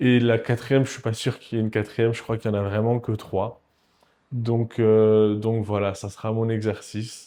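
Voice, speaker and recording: A man's dark, mellow tone at medium pitch, monotone and flat in intonation, at a moderate pace, on a very clean recording with a silent background. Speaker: entrepreneur vlogger. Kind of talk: casual vlog monologue. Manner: halting.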